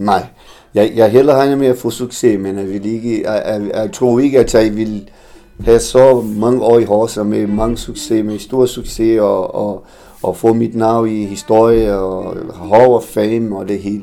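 A man with a Portuguese accent, speaking in a flat monotone at a fairly slow pace. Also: medium pitch for a man. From Brazil, Tocantins. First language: Portuguese (speaking Danish). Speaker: former professional footballer. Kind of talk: interview. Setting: café. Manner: halting, repeats words.

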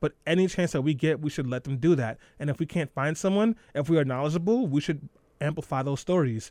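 On a very clean recording with a silent background, a man with an American accent talks at a very fast pace with ordinary pitch variation. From New York. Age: young. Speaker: radio host. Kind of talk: radio talk show. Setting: radio studio. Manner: animated.

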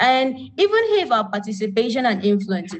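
A woman's somewhat breathy voice. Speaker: activist. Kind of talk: panel discussion. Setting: video call.

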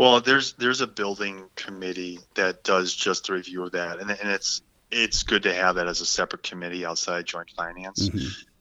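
Very deep and low in pitch, a man speaks with an American accent and ordinary pitch variation. He goes at a fairly quick pace with hardly any pauses. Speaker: state senator. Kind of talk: interview.

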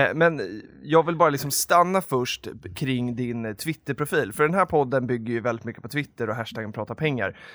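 A man with a plain, everyday voice at medium pitch, lively intonation, and a moderate pace, in a very clean recording with a silent background. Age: 20s. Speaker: podcast host. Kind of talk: casual chat.

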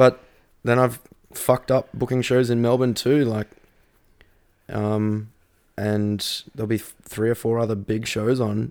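Speaking with an Australian accent, a man uses a medium pitch and monotone, flat intonation at a fairly slow pace with long, frequent pauses. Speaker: radio host and metal vocalist. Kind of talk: casual chat. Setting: in person, drinking beer.

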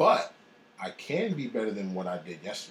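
Noticeable background noise accompanies speech at a fairly quick pace with very wide pitch swings. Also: man. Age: 30s. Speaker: executive chef. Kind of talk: interview.

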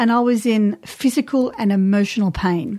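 With an Australian accent, a woman speaks at a moderate pace in a fairly high, somewhat breathy voice with lively intonation. The recording is very clean, with a silent background. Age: 50s. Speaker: podcast host, women's cycle coach. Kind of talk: casual chat. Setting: studio.

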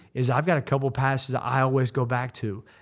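A man at medium pitch and a fairly quick pace, in a very clean recording with a silent background. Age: 30s. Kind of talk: devotional monologue.

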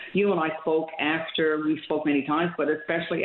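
Noticeable background noise behind a woman with a very deep, low pitch. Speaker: politician. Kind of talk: radio interview.

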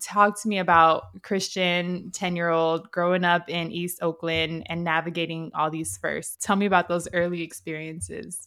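A woman with an American accent and a bright, sharp tone talks at a fairly low pitch and a moderate pace, with fairly even intonation and hardly any pauses, on a very clean recording with a silent background. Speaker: podcast host. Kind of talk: casual interview chat.

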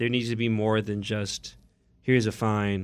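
With an American accent, a man speaks at a fairly low pitch in a monotone, flat intonation. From Oakland, California. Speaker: podcast co-host. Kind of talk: casual chat. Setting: studio.

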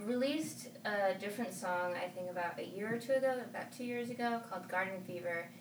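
At a moderate pace, a woman with a medium-pitched voice speaks with lively intonation. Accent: Spanish. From California and Arizona, US. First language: Spanish. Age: 20s. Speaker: singer and artist. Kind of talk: casual interview chat.

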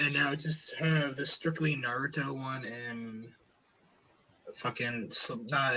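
A man with an American accent speaks at medium pitch in a monotone, flat delivery. Noticeable background noise runs underneath. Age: young. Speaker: podcast host. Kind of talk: casual chat.

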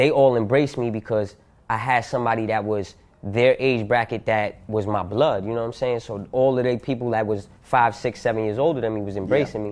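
Here a man speaks with a New York accent at a medium pitch. He goes at a fairly quick pace with fairly even intonation. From Yonkers, New York. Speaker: rapper. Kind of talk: casual interview.

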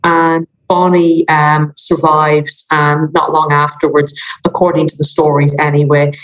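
Monotone, flat intonation in an Irish accent. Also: woman. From Ireland. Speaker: maritime history professor. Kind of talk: casual interview chat.

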